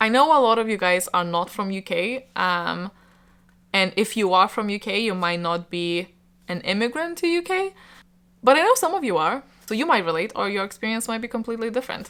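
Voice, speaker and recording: A woman with a Lithuanian accent, fairly quick pace and lively intonation, on a very clean recording with a silent background. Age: 20s. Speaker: book YouTuber. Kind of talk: casual chat to camera. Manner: hesitant, many fillers.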